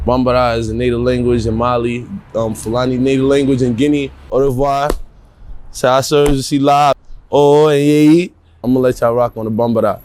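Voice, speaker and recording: This man speaks fairly quickly with an American accent. His medium pitch stays monotone and flat. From Harlem, New York; early childhood in West Africa and Paris. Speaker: rapper. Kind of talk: documentary interview. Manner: casual.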